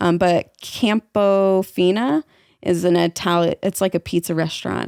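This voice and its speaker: In a slight Southern accent, a woman talks with a dry, close sound with no echo on a very clean recording with a silent background. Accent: slight southern twang. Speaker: podcast host. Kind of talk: casual chat. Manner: hesitant, many fillers.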